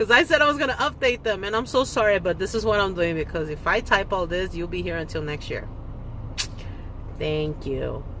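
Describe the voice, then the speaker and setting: The voice moves at a fairly quick pace. Noticeable background noise is present. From Korea. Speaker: K-pop fan vlogger. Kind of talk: casual vlog monologue. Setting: parked car. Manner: fast, giddy.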